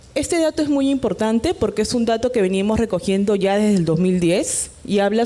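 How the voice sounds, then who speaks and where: Her voice is an unremarkable speaking voice, medium in pitch for a woman. She talks at a fairly quick pace with lively intonation. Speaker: electoral official presenter. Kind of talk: conference presentation.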